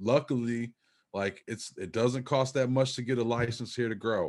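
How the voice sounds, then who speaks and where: A man speaks at a moderate pace in an unremarkable speaking voice of medium pitch. The background is quiet. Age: 40s. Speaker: cannabis media creator and music producer. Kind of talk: casual chat.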